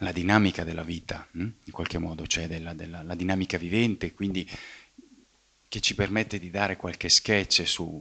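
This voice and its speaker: Soft-spoken and at a moderate pace, a man with a very deep, low pitch uses fairly even intonation and a bright, sharp tone. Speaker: scientist and philosopher of science giving a talk. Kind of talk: public lecture. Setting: evening talk before a live audience. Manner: speaks fairly softly; halting, many fillers and repetitions.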